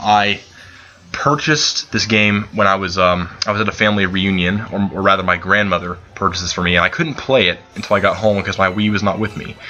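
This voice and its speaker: Noticeable background noise sits behind a man with a fairly low-pitched voice. He talks at a very fast pace with fairly even intonation. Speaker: gaming channel host. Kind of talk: let's play commentary. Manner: halting, many repeated words and fillers; unscripted, casual.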